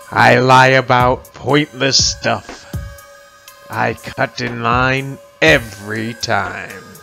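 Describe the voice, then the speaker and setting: Very slow male speech over background music. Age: old. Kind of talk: children's picture book read-aloud.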